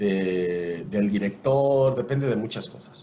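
With audible room echo and noticeable background noise, a man talks using lively intonation. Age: 40s. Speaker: voice actor and announcer. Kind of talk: casual interview. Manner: animated.

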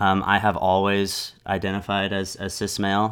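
A fairly slow pace in an American accent, on a very clean recording with a silent background. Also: man. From US, Los Angeles suburbs. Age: 30s. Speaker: business owner and music studio owner. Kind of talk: casual interview conversation. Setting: recording studio.

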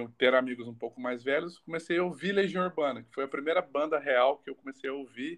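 A man talks at a fairly quick pace with hardly any pauses, in an ordinary speaking voice of fairly high pitch with ordinary variation and big swings in loudness. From Barretos, São Paulo state, Brazil. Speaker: singer-songwriter. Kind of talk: casual interview.

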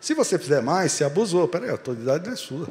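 Fairly quick, somewhat breathy speech from a man. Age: 50s. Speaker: guest preacher. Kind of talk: sermon. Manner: animated.

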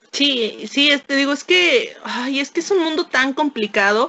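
A woman speaks with a Mexican accent. Her intonation is lively. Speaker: historian and secondary school teacher. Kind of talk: casual interview.

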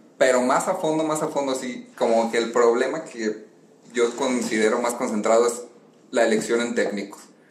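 With a Mexican accent, a man talks over noticeable background noise in a space with audible room echo. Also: medium pitch for a man, ordinary pitch variation, moderate pace. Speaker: football fan commentator. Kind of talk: casual chat.

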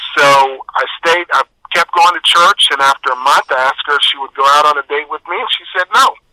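An ordinary speaking voice from a man, fairly high in pitch, with ordinary pitch variation, a fairly quick pace and a dry, close sound with no echo. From Texas. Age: 50s. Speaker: fitness expert and author. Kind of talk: interview.

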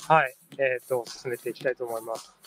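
A man talks at a medium pitch with fairly even intonation, the sound dry and close with no echo, over noticeable background noise. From Nagano, Matsumoto area. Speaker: podcast host. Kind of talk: interview. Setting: outdoors, riverbank public recording. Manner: halting, many fillers.

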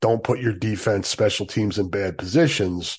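A man speaks in an ordinary speaking voice with a fairly low pitch. His intonation is lively, and the background is quiet. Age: 50s. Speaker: sports podcast host. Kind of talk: casual listener Q&A podcast.

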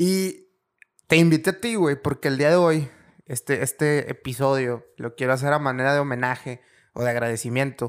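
A man speaks with an unremarkable speaking voice, pitched fairly high, with fairly even intonation. The recording is very clean, with a silent background. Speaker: podcast host. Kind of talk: casual chat.

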